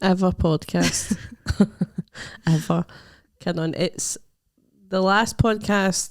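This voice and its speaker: At a very slow pace and with long, frequent pauses, a woman with a Scottish accent speaks in a medium-pitched voice with fairly even intonation. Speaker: stand-up comedian. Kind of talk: casual podcast chat.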